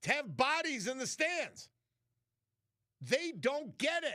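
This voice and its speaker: A man with an American accent talks at a fairly slow pace. His tone is bright and sharp, and his voice is raised and projected. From New York City. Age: 60s. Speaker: radio host. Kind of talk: talk radio monologue. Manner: animated.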